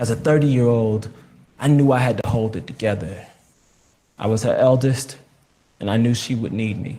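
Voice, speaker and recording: A man with an American accent speaks at a moderate pace, with a medium pitch and a dark, mellow, somewhat breathy tone. His intonation is fairly even, and he leaves long, frequent pauses. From New Jersey, raised largely by a southern grandmother. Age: 30s. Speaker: author and activist. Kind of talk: reading aloud from own memoir.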